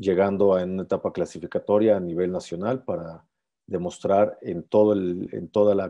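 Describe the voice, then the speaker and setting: A man speaks fairly slowly with a fairly low pitch. The background is quiet. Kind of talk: informational presentation. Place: home room. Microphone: earbuds.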